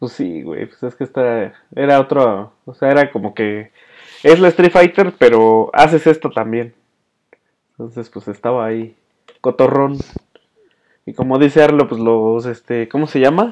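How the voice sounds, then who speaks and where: A man with a Mexican accent speaks at a fairly slow pace, using lively intonation, big swings in loudness, and long, frequent pauses. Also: medium pitch for a man. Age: 20s. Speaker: podcast host and music show presenter. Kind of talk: casual chat.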